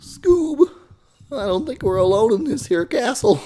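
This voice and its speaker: A man puts on a character voice at an extremely high pitch. He keeps a moderate pace. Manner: cracking cartoon voice.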